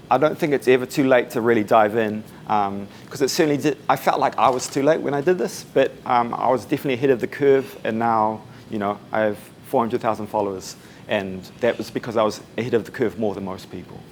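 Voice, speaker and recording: In a New Zealand accent, a man talks at a very fast pace with a medium pitch and ordinary pitch variation. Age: 20s. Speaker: musician and social media consultant. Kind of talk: talk at a meetup. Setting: room with live audience, no microphone. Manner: casual, uses fillers. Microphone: no microphone, may be hard to hear.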